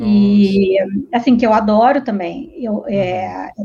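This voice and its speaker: This woman has a strong Rio de Janeiro accent. Her pitch is fairly high, with ordinary variation. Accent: strong carioca. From Rio de Janeiro, Brazil. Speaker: literary translator. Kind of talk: casual interview.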